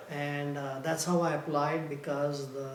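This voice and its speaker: Over noticeable background noise and audible room echo, a man speaks at a fairly slow pace. His fairly high voice stays monotone, with flat intonation. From India (Mumbai). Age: 70s. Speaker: retired engineer, immigrant interviewee. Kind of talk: oral history interview. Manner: halting, many fillers.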